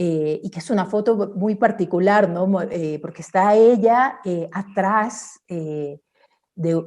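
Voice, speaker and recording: Her intonation is lively and her pitch medium. The woman speaks very slowly. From Ecuador, Guayaquil. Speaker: artist and researcher. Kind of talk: online talk with slides. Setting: virtual event. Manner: many fillers and restarts.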